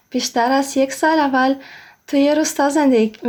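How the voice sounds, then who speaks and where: A high-pitched woman's voice with an Isfahani accent, flat monotone intonation and a moderate pace. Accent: Isfahani accent in Persian. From Russia. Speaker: Persian learner, interviewee. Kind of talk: interview.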